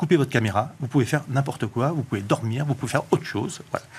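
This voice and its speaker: A man rattles along at a very fast pace, his somewhat breathy voice showing ordinary pitch variation. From southwestern France. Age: 50s. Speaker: author and tech entrepreneur. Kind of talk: TV panel interview. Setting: studio.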